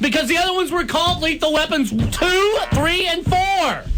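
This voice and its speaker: A man with an extremely high pitch speaks at a moderate pace in a raised, projected voice with very even loudness. Music plays in the background. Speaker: radio host. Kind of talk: heated debate.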